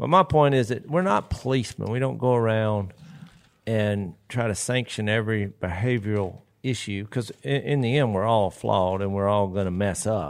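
On a very clean recording with a silent background, a man with a Southern accent speaks at a fairly low pitch. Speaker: podcast co-host and preacher. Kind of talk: casual chat.

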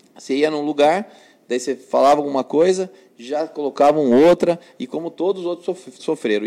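A man speaks at a moderate pace with ordinary pitch variation. The recording is very clean, its background silent. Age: 30s. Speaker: elected city councillor. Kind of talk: interview. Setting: newsroom live stream.

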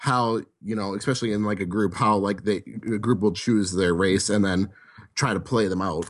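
An unremarkable speaking voice with an American accent, moderate pace and ordinary pitch variation. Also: man. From Wisconsin. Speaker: board game convention staffer. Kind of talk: casual chat.

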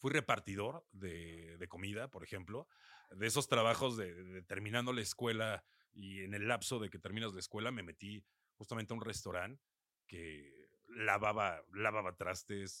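With a Mexico City accent, a man speaks at a fairly low pitch and a moderate pace in a bright, sharp tone. His pitch varies in an ordinary way and his loudness swings widely, in a dry, close sound with no echo. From Mexico City area, northern zone (Satélite). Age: 40s. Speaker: radio announcer and DJ. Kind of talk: casual interview.

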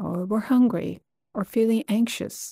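A woman's gentle, somewhat breathy voice with fairly even intonation, dry and close with no echo, on a very clean recording with a silent background. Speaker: meditation guide. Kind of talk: guided meditation. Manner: slow, soft, gentle, calming; unhurried with long pauses.

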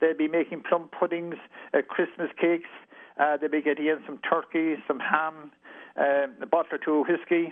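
Speaking in a Kerry accent, a man keeps a moderate pace and a fairly high pitch with monotone, flat intonation. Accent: Irish (Kerry). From west of Ireland, County Kerry. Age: old. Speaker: retired police chief. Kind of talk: interview. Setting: phone call.

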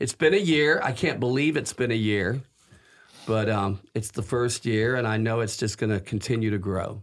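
A man with a plain, everyday voice at a medium pitch. He speaks at a moderate pace with ordinary pitch variation. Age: 60s. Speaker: priest and cathedral rector. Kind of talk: casual interview.

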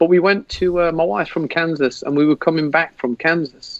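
A man is speaking. He has an English accent. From England. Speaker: football fan. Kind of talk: casual chat.

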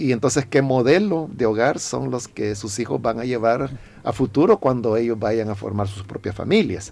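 This man talks at a moderate pace with a medium pitch. His tone is dark and mellow, and his intonation is lively. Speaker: pastor. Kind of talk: radio interview giving pastoral advice. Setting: radio studio.

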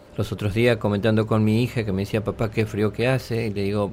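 This man has a plain, everyday voice with a fairly low pitch. He speaks at a moderate pace. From Argentina, Tucumán. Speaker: war veteran. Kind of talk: testimony.

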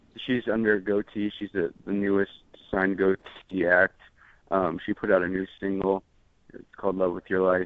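A man speaks in a very deep, low pitch at a moderate pace. His intonation is monotone and flat. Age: 20s. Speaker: music producer. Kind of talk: interview. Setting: phone call. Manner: halting.

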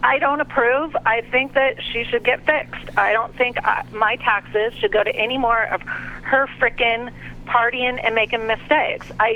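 A woman speaks at a moderate pace with fairly high pitch. Noticeable background noise is present. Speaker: caller. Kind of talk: call-in debate. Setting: phone call.

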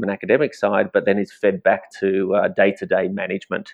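Speaking at a very fast clip, a man with an Australian accent rushes through his words. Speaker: wildlife conservationist. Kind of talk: interview.

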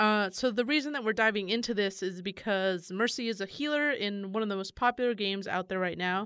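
With an American accent, a woman has a plain, everyday voice, a medium pitch, ordinary pitch variation and a fairly quick pace with hardly any pauses. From US West Coast, San Francisco. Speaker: podcast host and games journalist. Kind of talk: casual chat.

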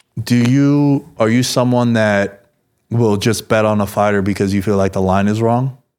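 The speech moves at a moderate pace with very even loudness. The recording is very clean, with a silent background. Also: man, fairly low pitch for a man. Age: 30s. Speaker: podcast host. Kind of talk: casual chat. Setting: studio. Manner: animated.

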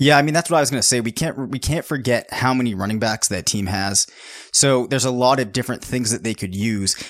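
Sounding strained, a man rushes along at a very fast pace with a medium pitch and ordinary pitch variation. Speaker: fantasy football analyst and podcast host. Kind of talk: casual sports podcast chat. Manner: fast-talking tendency, restrained on podcast.

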